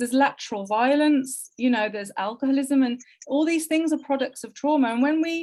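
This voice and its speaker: With a West Midlands accent, a woman speaks in a high pitch with ordinary pitch variation. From English Midlands, Wolverhampton. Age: 40s. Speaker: Romani heritage crafts researcher. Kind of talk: interview conversation. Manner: emotional, impassioned.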